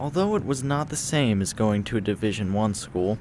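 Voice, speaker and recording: A man with an unremarkable speaking voice talks at a moderate pace in a fairly low pitch. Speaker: student news and sports anchor. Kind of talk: news package voiceover.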